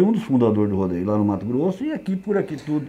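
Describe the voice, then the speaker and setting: Talking at a very fast pace, a man uses a dark, mellow tone with very wide pitch swings. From western São Paulo state, Brazil. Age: 60s. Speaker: rodeo horse stock contractor. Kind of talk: interview. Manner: halting, repeats words.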